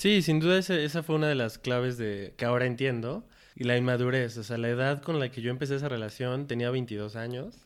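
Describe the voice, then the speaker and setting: A man with an unremarkable speaking voice talks at a fairly quick pace. His pitch is medium with ordinary variation, and the recording is very clean, with a silent background. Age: 20s. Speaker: logistics worker. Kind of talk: casual chat.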